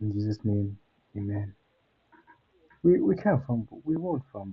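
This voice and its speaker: With lively intonation, the man talks at a medium pitch in a somewhat breathy voice. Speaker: football fan streamer. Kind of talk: live watchalong commentary. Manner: casual slangy; kinda quiet.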